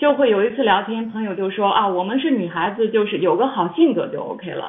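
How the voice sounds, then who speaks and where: A woman's fairly high voice carries lively intonation, with noticeable noise behind her. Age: 40s. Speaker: YouTuber and former pastry chef. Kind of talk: casual chat.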